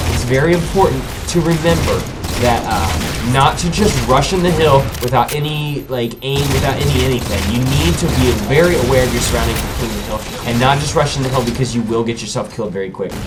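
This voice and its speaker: A man's medium-pitched voice with lively intonation, a fairly quick pace, and noticeable background noise. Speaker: gaming commentator. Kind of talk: gameplay commentary. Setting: webcam microphone. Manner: casual, hesitant.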